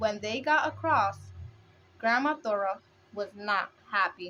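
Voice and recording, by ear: This woman has a medium pitch and a bright, sharp tone. Her intonation is lively, and her pace is fairly slow.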